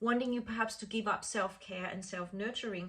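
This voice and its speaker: A woman's normal speaking voice at a fairly quick pace, with fairly even intonation. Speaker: chakra healing teacher. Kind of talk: talk to course participants.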